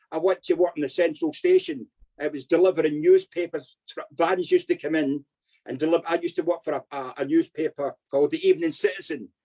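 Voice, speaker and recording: A man speaks very fast in a Glaswegian accent, and the sound is dry and close with no echo. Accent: Glaswegian Scottish. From Scotland, Glasgow. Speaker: former criminal. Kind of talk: life story interview.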